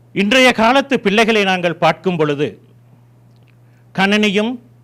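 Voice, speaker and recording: A man speaks at a fairly slow pace with a Tamil accent and lively intonation. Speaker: community leader. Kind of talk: ceremonial speech.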